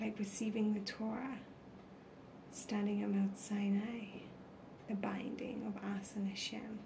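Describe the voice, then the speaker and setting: A woman's soothing, calm voice at medium pitch, monotone and flat in intonation, at a fairly slow pace with long, frequent pauses, over noticeable background noise. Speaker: meditation guide. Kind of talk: guided meditation. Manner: slow, soothing and calm.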